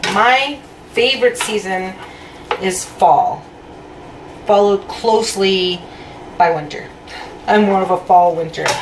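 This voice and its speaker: Amid noticeable background noise, a woman speaks at a fairly slow pace with long, frequent pauses and ordinary pitch variation. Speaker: home cooking vlogger. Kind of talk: casual vlog chat. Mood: cheerful, animated. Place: kitchen. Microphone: phone near.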